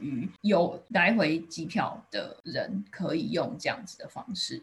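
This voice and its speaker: The voice makes very wide pitch swings and carries vocal fry. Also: woman. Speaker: podcast host. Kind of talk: scripted intro and outro; interview conversation.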